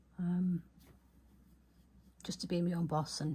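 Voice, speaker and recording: A woman mumbles in a dark, mellow, somewhat breathy tone. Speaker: small business owner, journaling vlogger. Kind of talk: casual video chat, journal flip-through. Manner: fast; mumbling.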